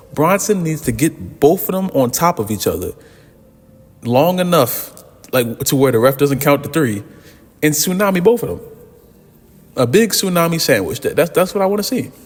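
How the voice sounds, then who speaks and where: With noticeable background noise behind him, a man speaks at a fairly high pitch using lively intonation and long, frequent pauses. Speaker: wrestling commentary youtuber. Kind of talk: casual vlog commentary. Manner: fast; halting, lots of repeats.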